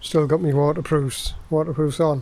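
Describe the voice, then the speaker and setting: With an English accent, a man speaks at a moderate pace. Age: 60s. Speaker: motorcycle vlogger. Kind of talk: casual video monologue. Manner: informal, hesitant with fillers.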